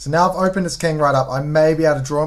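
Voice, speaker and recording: A man with a New Zealand accent at a very fast pace, his intonation fairly even. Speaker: chess streamer. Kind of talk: live game commentary. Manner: casual, hesitant with fillers.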